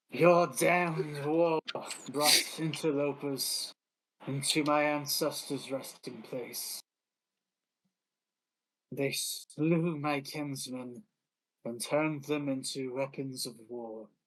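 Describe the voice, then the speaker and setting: A man in a put-on character voice with a fairly high pitch speaks at a very slow pace, leaving long, frequent pauses. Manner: bitter, accusing.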